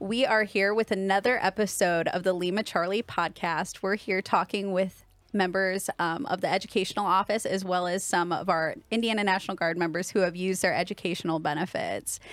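A woman with an unremarkable speaking voice, medium pitch, fairly even intonation, very even loudness, a fairly quick pace and hardly any pauses. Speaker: military podcast host. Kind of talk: podcast interview.

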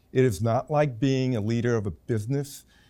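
A man's dark, mellow voice in an American accent, with ordinary pitch variation, on a very clean recording with a silent background. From New York City. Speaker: professor, retired air force officer. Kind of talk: interview.

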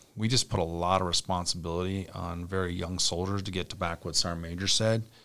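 A man's very deep, low voice with an Upper Midwest accent, at a very fast pace. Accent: Upper Midwest (Minnesota). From central Minnesota. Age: 40s. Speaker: army brigade commander. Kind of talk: interview.

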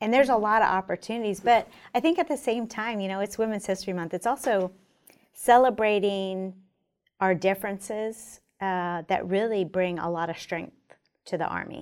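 On a very clean recording with a silent background, a woman at medium pitch talks at a moderate pace in a normal speaking voice. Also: ordinary pitch variation. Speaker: army general. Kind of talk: interview. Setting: studio.

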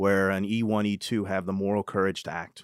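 Recorded very clean with a silent background and a dry, close sound with no echo, a man with an American accent talks at a fairly quick pace. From New Hampshire and California, US. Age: 40s. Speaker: senior military enlisted leader. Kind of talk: interview conversation.

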